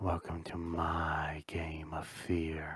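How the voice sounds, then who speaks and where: A man uses a put-on character voice, raspy and very deep in pitch. The delivery is monotone and flat. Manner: menacing, theatrical.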